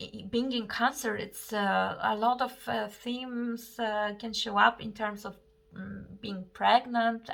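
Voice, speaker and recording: In a non-native accent, a woman with a fairly high pitch and a bright, sharp tone speaks at a fairly slow pace. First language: not English. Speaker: astrologer and tarot reader. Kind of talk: astrology forecast monologue. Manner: halting, many fillers.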